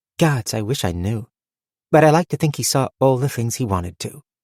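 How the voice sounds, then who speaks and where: A man puts on a character voice and speaks fairly quickly. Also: medium pitch for a man. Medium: read story. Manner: tart, wry.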